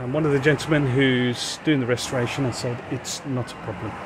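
Someone talks at a fairly quick pace over noticeable background noise. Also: man. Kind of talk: casual walkthrough commentary. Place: workshop. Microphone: phone near.

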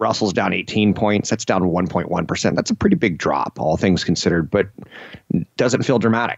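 A man talks in an ordinary speaking voice at a fairly low pitch and a moderate pace. The sound is dry with no echo, over a quiet background. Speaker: radio show host. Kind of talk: radio talk show commentary. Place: studio.

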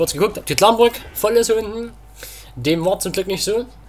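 A man talks at a moderate pace, his pitch varying in an ordinary way, while noticeable background noise runs underneath. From Saxony, Germany. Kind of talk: casual gameplay commentary. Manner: quieter than usual.

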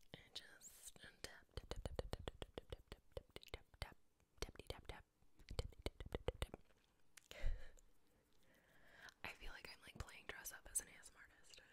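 A woman whispers at a moderate pace with long, frequent pauses. Her loudness swings widely. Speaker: ASMR artist and comedy YouTuber. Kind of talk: casual whispered ASMR ramble while doing makeup. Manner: whispered, chatty, rambling. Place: home room. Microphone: studio mic.

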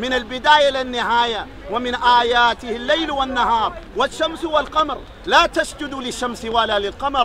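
Against crowd noise, a raised, projected voice speaks at a fairly slow pace, the sound dry with no echo. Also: man. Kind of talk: public street sermon / dawah speech. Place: open country. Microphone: lapel.

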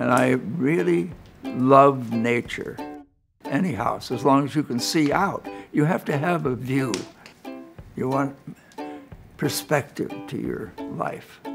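A man with an American accent at a medium pitch, at a very slow pace with long, frequent pauses, and music in the background. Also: lively intonation. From California. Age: 80s+. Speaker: architect. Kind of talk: interview answer.

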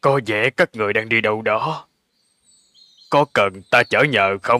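This is a man doing a cartoonish character voice. He keeps a medium pitch and a fairly slow pace.

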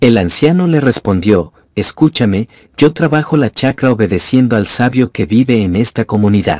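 A man speaks at a moderate pace with a medium pitch and lively intonation in a dark, mellow tone. The sound is dry and close, with no echo. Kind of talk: storytelling, reading aloud a folk tale for students. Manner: even, clear, didactic narration.

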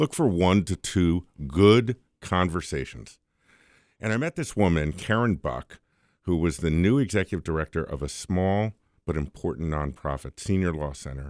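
With a New York accent, a man speaks at a moderate pace in a very deep, low pitch, his intonation lively and the sound dry with no echo over a quiet background. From New York City. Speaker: IT business owner; guest. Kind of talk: radio interview. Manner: strong confident speaker. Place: studio. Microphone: studio mic.

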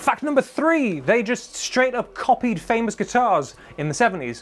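A man with a Geordie accent sounds upbeat and enthusiastic, his pitch swinging very widely. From Newcastle area, northern England. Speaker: guitar retailer presenter. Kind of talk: scripted-style educational video monologue. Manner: upbeat, enthusiastic. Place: shop.

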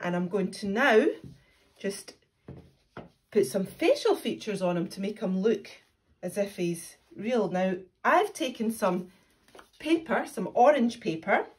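Somewhat breathy, a woman speaks with lively intonation and long, frequent pauses. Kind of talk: craft tutorial. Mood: friendly, warm. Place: home room. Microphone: phone near.

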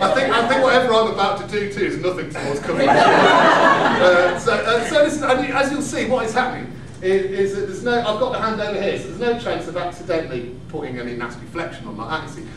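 The voice races at a very fast pace with very wide pitch swings. There is audible room echo and loud background noise. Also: man. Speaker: comedian, slam poet. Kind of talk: live comedy performance. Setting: live stage with audience. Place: stage. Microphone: camera far.

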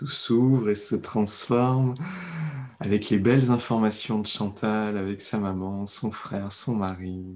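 A man with a fairly low voice talks very slowly. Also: fairly even intonation. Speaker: qigong teacher. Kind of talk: guided meditation. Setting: video call. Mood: warm, reflective. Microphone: video call.

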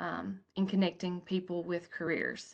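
Speaking at a moderate pace with an Appalachian accent, a woman talks over a quiet background. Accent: Appalachian Southern US. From Appalachian Kentucky. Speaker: public library director. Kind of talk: online conference presentation. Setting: video call. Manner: hesitant, frequent fillers. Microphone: webcam.

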